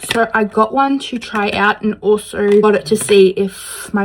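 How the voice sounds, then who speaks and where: With noticeable background noise, a woman in an Australian accent speaks at medium pitch with ordinary pitch variation. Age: 20s. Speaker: beauty vlogger. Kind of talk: casual talk to camera. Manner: chatty.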